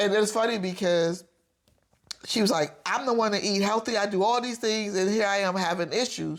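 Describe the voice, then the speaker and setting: An ordinary speaking voice from a woman, medium in pitch, with fairly even intonation, very even loudness and a very clean recording against a silent background. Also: moderate pace. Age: 50s. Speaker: podcast co-host. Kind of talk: casual chat.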